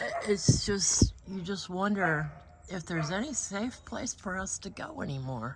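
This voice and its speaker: Noticeable background noise sits behind a woman speaking fairly slowly at medium pitch. Her pitch swings very widely, and her loudness rises and falls sharply. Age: 70s. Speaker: small farmer and vlogger. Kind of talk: casual vlog monologue. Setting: in a car.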